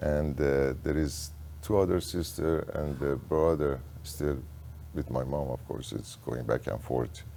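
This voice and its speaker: With audible room echo, a man speaks at a fairly slow pace in a very deep, low pitch with a dark, mellow tone, vocal fry and fairly even intonation. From Iran, Tehran. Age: 70s. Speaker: insurance agent, business owner. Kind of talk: interview conversation.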